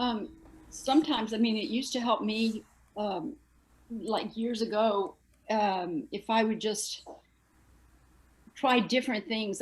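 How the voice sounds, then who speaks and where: This is a woman with an American accent. She sounds somewhat breathy. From Texas. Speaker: astral projector, discussion group member. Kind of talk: casual group discussion.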